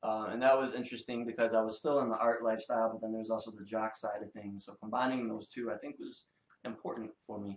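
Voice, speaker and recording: Monotone, flat intonation in a Detroit accent at a very fast pace, with big swings in loudness. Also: man, medium pitch for a man. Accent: Detroit American English. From US Midwest, Detroit. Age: 20s. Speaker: illustrator. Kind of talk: casual interview chat. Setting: in-person podcast.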